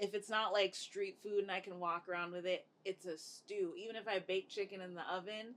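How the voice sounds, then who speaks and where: A woman speaks at a medium pitch with hardly any pauses. Her intonation stays flat and monotone. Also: fairly quick pace. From Jamaican heritage. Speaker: interview show host. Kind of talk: casual interview chat.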